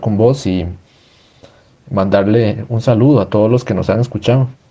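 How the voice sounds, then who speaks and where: At a moderate pace, a man talks in an unremarkable speaking voice with a medium pitch. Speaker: student podcast host. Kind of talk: interview.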